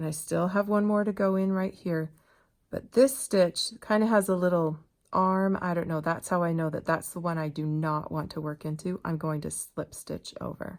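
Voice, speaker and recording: In a very clean recording with a silent background, a woman with a normal speaking voice talks at a moderate pace in a fairly low pitch with ordinary pitch variation. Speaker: crochet instructor. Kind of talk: tutorial. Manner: casual, conversational.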